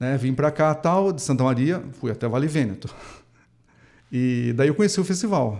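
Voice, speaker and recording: Against a quiet background, a man with a dark, mellow tone speaks with ordinary pitch variation. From interior of São Paulo state, Brazil. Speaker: clarinet professor and music festival coordinator; clarinet professor. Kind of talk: interview. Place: studio. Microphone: studio mic.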